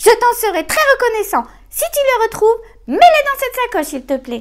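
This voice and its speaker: A woman does a put-on character voice that is squeaky and extremely high, delivered at a moderate pace. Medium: read story. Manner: fussy, slightly whining.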